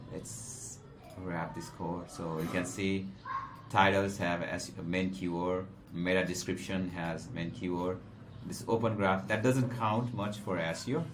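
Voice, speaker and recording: At a fairly slow pace, a man with a Nepali accent speaks in a very deep, low pitch with ordinary pitch variation, amid audible room echo and noticeable background noise. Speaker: SEO trainer. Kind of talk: tutorial. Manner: halting, many fillers.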